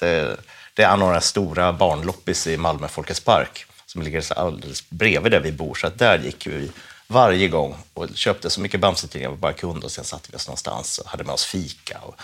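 A man's very deep, low voice with vocal fry, a fairly quick pace, ordinary pitch variation and big swings in loudness. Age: 40s. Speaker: comic writer. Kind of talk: casual chat.

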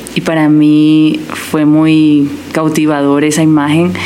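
A woman with a very deep, low pitch speaks amid noticeable background noise and audible room echo. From Colombia, Barranquilla. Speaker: missionary and interpreter. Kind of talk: testimony.

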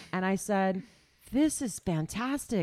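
Her tone dark and mellow, a woman speaks at a fairly slow pace in a medium pitch with very wide pitch swings, in a very clean recording with a silent background. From Missouri, US Midwest. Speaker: fitness instructor. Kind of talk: casual chat.

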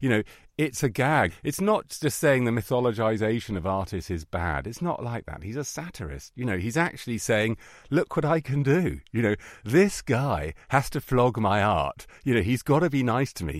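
On a very clean recording with a silent background, a man with vocal fry talks at medium pitch and a fairly quick pace, his pitch swinging very widely. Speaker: art critic and TV documentary maker. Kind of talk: interview. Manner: animated.

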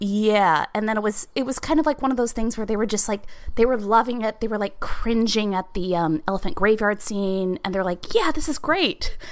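Here is an unremarkable speaking voice from a woman with lively intonation. She moves at a fairly quick pace with hardly any pauses. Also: fairly high pitch for a woman. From Georgia, US South. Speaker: English teacher, podcast guest. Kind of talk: casual chat.

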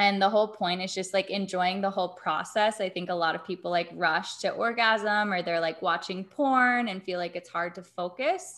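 A woman with an American accent and an ordinary speaking voice talks at a moderate pace with a medium pitch and fairly even intonation over a quiet background. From US South, Atlanta. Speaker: intimacy coach and yoga teacher. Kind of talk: casual interview chat.

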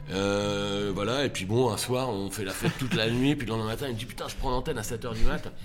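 Music plays in the background as a man with a fairly low pitch talks at a very fast pace, with audible room echo. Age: 40s. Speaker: comedian. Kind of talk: casual chat.

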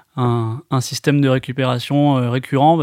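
In a very clean recording with a silent background, a man talks in an ordinary speaking voice at medium pitch with fairly even intonation. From Bordeaux, France. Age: 30s. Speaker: entrepreneur. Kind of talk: testimony.

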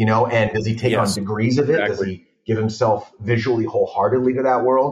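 A man's somewhat breathy, medium-pitched voice with an American accent, fairly even intonation and a very fast pace. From Los Angeles (San Fernando Valley). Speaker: film director. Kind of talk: casual chat.

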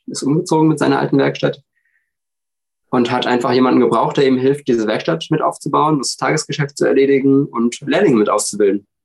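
Very fast and at a medium pitch, a man speaks with ordinary pitch variation. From Hesse, Germany (village near Frankfurt). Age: 30s. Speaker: podcast guest with dyslexia. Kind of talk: casual interview.

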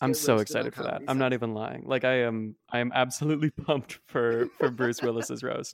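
A man talks at a moderate pace with hardly any pauses and fairly even intonation, his pitch medium. He has a plain, everyday voice. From Canada. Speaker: podcast guest.

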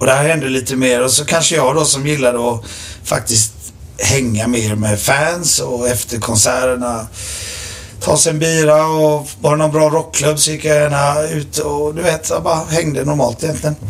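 There is audible room echo and noticeable background noise as a man talks at a fairly high pitch. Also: ordinary pitch variation, moderate pace. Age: 40s. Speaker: rock drummer. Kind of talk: casual chat.

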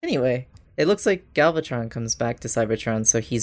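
A man with a plain, everyday voice speaks at a medium pitch and a moderate pace. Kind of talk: casual chat.

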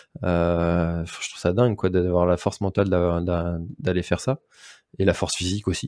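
Dry and close with no echo, a man with a very deep, low pitch speaks at a fairly slow pace in fairly even intonation. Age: 30s. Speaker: podcast host and race organizer. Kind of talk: casual interview chat. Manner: hesitant, many fillers.

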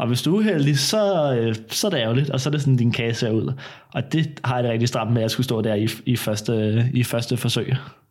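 A man speaks at medium pitch and a moderate pace, in a normal speaking voice. His loudness stays very even, and his pitch varies in an ordinary way. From Denmark, Copenhagen area. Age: 20s. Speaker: baking show contestant. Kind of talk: casual chat. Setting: at home.

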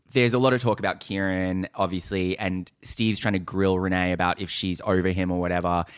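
A man with an Australian accent talks at a fairly quick pace with hardly any pauses, his voice very deep and low. His intonation stays fairly even on a very clean recording with a silent background. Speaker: podcast co-host. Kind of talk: casual chat. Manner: loud.

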